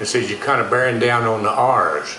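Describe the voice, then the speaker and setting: A man with a Texan accent speaks in an animated tone at a moderate pace. Noticeable background noise and audible room echo fill the recording. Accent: Texan accent, dropped G's and heavy R's. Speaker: actor and dialect coach telling stories. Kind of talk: storytelling interview. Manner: folksy, animated.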